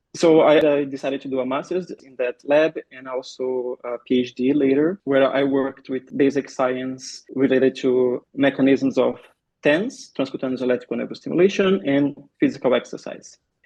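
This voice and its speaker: With fairly even intonation, this man uses a fairly high pitch and keeps a moderate speed. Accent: Brazilian Portuguese. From Brazil. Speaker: pain researcher and physiotherapist. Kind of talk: podcast interview. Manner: some hesitations and repeated words.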